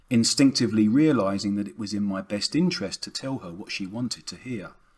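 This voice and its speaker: A man's fairly low voice at a moderate pace, with lively intonation. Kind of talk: audiobook reading of a novel.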